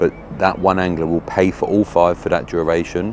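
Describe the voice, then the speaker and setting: Over noticeable background noise, a man talks in a very deep, low voice with ordinary pitch variation. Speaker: fishing video presenter. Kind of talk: outdoor walkaround vlog. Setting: outdoors at a fishing lake. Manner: casual, chatty; quiet.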